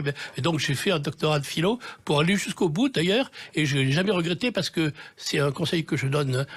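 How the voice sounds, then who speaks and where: Against a silent background in a very clean recording, a man talks at a fairly high pitch with ordinary pitch variation. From Marseille, southern France. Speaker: TV director and novelist. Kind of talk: radio interview. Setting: radio studio. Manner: hesitant, many fillers.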